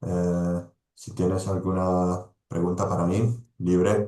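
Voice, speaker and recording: Speaking at a very slow pace with an Italian accent, the voice has a dark, mellow tone. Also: man. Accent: non-native Spanish, Italian. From Italy. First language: Italian (speaking Spanish). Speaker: sports nutrition expert, pharmacist. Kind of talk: presentation to a team. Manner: halting, many fillers and repetitions.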